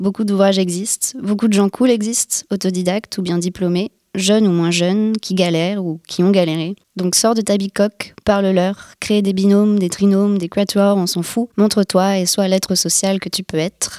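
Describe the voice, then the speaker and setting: In a dry, close recording with no echo, a woman of medium pitch speaks at a moderate pace in a dark, mellow tone with monotone, flat intonation. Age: 20s. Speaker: screenwriting intern. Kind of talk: scripted narration.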